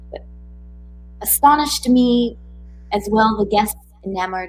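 A woman's somewhat breathy voice, fairly high in pitch, at a fairly slow pace. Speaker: co-host poetry reader. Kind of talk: casual live chat and poetry reading. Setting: live YouTube stream. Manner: casual, excited.

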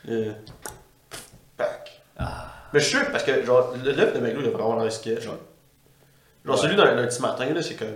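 Speaking with a Quebec accent, a man leaves long, frequent pauses, amid noticeable background noise and audible room echo. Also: moderate pace. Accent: Québécois French. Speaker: podcast host. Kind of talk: casual chat.

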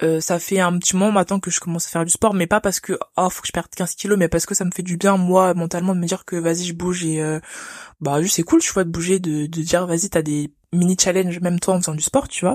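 A woman's fairly low, fairly even voice at a very fast pace, dry and close with no echo, on a very clean recording with a silent background. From France. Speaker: engineering student. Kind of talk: interview. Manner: halting.

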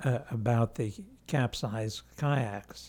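A man's dark, mellow voice at medium pitch with an American accent, very slow pace, and a very clean recording over a silent background. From New York City. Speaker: local newspaper reporter. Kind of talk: casual interview.

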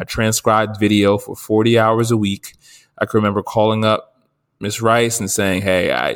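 The speaker has an American accent and a monotone, flat intonation at a moderate pace. The recording is very clean, with a silent background. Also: man. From New Jersey. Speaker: podcast co-host, journalist. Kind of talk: casual chat.

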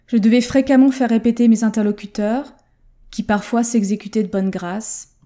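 At a moderate pace, the speaker has a dark, mellow, somewhat breathy tone with fairly even intonation on a very clean recording with a silent background. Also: woman. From France. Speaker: language learning coach. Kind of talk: solo podcast monologue.

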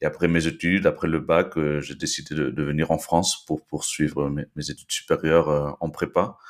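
A man's very deep, low, monotone voice on a very clean recording with a silent background. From Peru (Lima), born in Belgium. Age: 30s. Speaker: no-code agency cofounder. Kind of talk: interview. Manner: halting, frequent repetitions.

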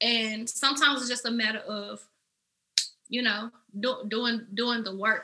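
This woman speaks with a fairly high pitch and monotone, flat intonation. Her pace is fairly slow, with long, frequent pauses. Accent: Memphis. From Memphis, Tennessee, US South. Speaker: makeup artist and entrepreneur. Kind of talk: casual interview chat.

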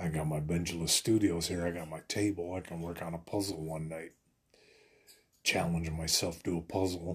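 A man speaks in a very deep, low pitch. His intonation is monotone and flat, and his voice is somewhat breathy. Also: moderate pace. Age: 40s. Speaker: podcast host. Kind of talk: casual monologue. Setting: home studio.

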